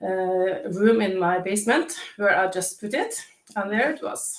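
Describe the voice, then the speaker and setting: A woman speaks with a non-native accent at a medium pitch. Her intonation is fairly even. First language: not English. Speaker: declutter coach. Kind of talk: live interview. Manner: halting, many fillers.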